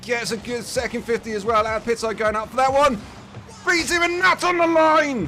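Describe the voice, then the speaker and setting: Over noticeable background noise, a man raises and projects his voice with an English accent. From England. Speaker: esports caster. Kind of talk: live commentary. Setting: live stream.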